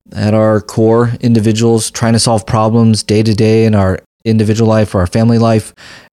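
A man talks fairly quickly at a medium pitch, with a dark, mellow tone, monotone, flat intonation and very even loudness. The recording is very clean and dry, close with no echo, over a silent background. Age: 40s. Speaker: family physician and health care advocate. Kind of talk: interview conversation.

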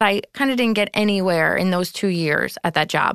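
A normal speaking voice with an American accent talks at a moderate pace with ordinary pitch variation. The sound is dry and close with no echo, over a quiet background. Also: woman. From New York. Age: 30s. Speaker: event planner. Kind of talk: personal story interview.

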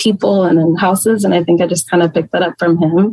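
In an American accent, a woman talks with fairly even intonation at a fairly low pitch. It is an ordinary speaking voice. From Texas (Plano, North Texas). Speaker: small business owner and teacher. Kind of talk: casual interview.

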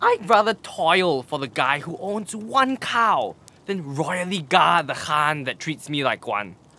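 A man puts on a character voice pitched fairly high, with a bright, sharp tone, lively intonation and a slow pace.

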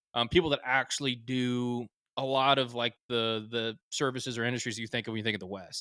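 A man with a Texan accent speaks at a fairly quick pace in a medium pitch, his tone bright and sharp. The intonation stays fairly even, and the sound is dry and close with no echo. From Texas, small town north of Dallas. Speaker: geologist and clothing company co-founder. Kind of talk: casual interview chat.

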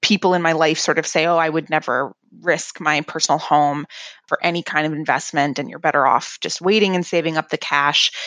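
In a dry, close sound with no echo and a quiet background, a woman with an unremarkable speaking voice talks at a fairly low pitch, a moderate pace and fairly even intonation. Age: 30s. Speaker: listener asking a question. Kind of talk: recorded voicemail question.

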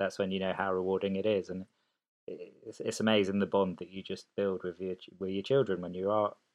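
A man with a southern English accent, fairly quick pace and monotone, flat intonation. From Oxfordshire, England (born in Sicily). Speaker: guest parent. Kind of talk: casual chat.

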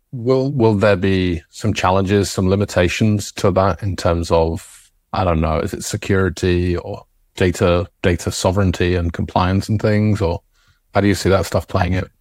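Intonation is fairly even. The recording is very clean, with a silent background. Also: man, very deep, low pitch for a man, moderate pace. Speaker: podcast host. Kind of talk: casual interview chat.

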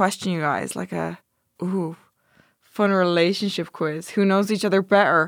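A woman with an Irish accent speaks at a medium pitch with fairly even intonation. The recording is very clean, with a silent background. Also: moderate pace. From Ireland. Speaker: Twitch streamer. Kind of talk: casual chat. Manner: loud.

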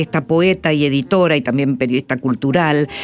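Music plays in the background as the speaker talks at a fairly quick pace with lively intonation. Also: woman. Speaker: radio host. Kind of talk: radio interview; scripted narration.

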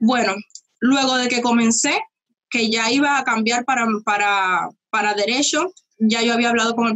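In a Cuban accent, a woman talks at a fairly high pitch with fairly even intonation. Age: young. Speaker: youtuber. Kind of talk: interview.

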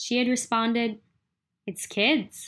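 A woman with a normal speaking voice and an American accent talks at a fairly slow pace with a fairly high pitch, on a very clean recording with a silent background. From Philadelphia area. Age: 20s. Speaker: student audio documentary maker. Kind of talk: scripted narration.

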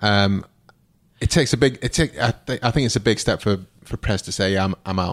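A man with a British accent speaks at a fairly quick pace and a fairly low pitch, with ordinary pitch variation and a dry, close sound with no echo. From UK. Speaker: podcast co-host. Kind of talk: casual chat.

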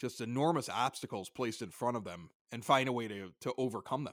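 In a very clean recording with a silent background, a man with an American accent talks at a moderate pace. He has an unremarkable speaking voice of medium pitch. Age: 40s. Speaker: sports podcaster. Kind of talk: casual chat.

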